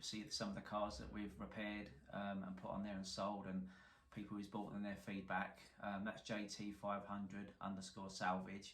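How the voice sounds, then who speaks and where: In a strong London accent, a man speaks at a moderate pace with a fairly low pitch, and audible room echo surrounds the voice. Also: fairly even intonation. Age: 40s. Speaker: car salvage repairer, YouTuber. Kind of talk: casual to-camera introduction.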